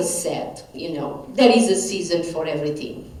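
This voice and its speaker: With a Portuguese accent and lively intonation, a woman speaks amid noticeable background noise and audible room echo. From Portugal. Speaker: professor of biblical studies. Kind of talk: lecture. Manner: halting.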